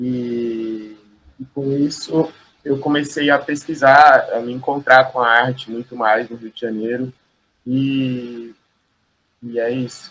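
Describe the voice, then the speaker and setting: A man speaks at a medium pitch with fairly even intonation and big swings in loudness. His pace is very slow, broken by long, frequent pauses. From Brazil, São Paulo region (São Bernardo do Campo). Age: 30s. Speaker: visual artist. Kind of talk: interview.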